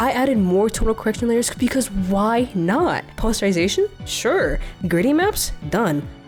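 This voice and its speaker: With music in the background, a woman with a fairly high pitch talks at a moderate pace. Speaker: digital artist. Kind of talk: comedic art video narration.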